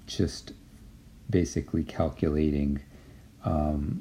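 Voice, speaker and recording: The voice has a dark, mellow tone. Audible room echo surrounds it. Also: man. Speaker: university statistics lecturer. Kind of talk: lecture. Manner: halting, many fillers.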